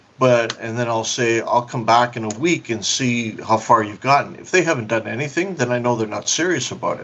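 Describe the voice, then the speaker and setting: Noticeable background noise sits behind a man who talks with hardly any pauses, big swings in loudness and ordinary pitch variation. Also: medium pitch for a man, fairly quick pace. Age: 60s. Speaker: adult industry business consultant. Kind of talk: interview. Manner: halting.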